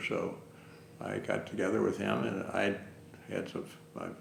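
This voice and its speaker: A man with a Midwestern American accent speaks over noticeable background noise in a room with audible echo. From Ohio, Cincinnati. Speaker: retired family doctor. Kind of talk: oral history interview. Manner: halting, many fillers.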